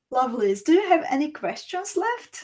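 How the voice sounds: A woman speaks at a moderate pace in a high pitch, her slightly mellow tone moving through big pitch swings.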